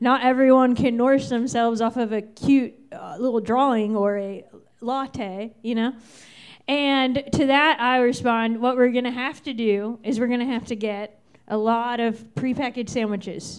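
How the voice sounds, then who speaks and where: This woman's high-pitched voice holds a fairly even intonation at a moderate pace. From Virginia, Fairfax County. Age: 30s. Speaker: stand-up comedian. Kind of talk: stand-up. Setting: stage with audience.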